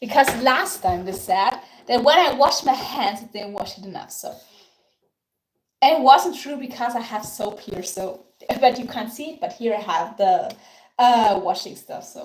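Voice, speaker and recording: Her intonation lively, a woman speaks at a moderate pace and fairly high pitch. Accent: Austrian. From Austria, Tyrol. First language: German (Tyrolean dialect). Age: 30s. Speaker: baking livestreamer. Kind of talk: live baking tutorial with chat. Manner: halting.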